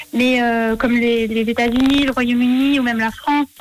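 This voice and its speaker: Against noticeable background noise, a woman with a high pitch speaks fairly slowly in a fairly even intonation. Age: 20s. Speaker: vegan box business founder. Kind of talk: radio interview.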